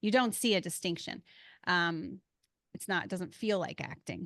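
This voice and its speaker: A woman speaks in a fairly low voice with a slight Philadelphia accent and ordinary pitch variation. The sound is dry and close with no echo, over a quiet background. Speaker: podcast host. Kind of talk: casual chat.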